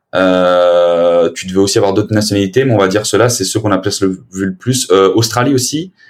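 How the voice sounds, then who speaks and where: In a normal speaking voice, a man talks at a moderate pace, fairly low in pitch with ordinary variation. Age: 20s. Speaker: podcaster and sales manager. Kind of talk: casual chat.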